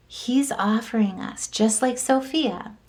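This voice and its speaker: Somewhat breathy and dark, mellow in tone, a woman speaks with fairly even intonation. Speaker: tarot and astrology reader. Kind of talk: astrology forecast monologue.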